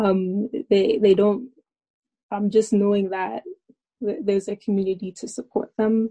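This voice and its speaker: In a Canadian accent, a woman speaks at a fairly slow pace with long, frequent pauses, her medium-pitched voice somewhat breathy with a dark, mellow tone and monotone, flat intonation, the sound dry and close with no echo. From Alberta, Canada. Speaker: university student. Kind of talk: panel discussion.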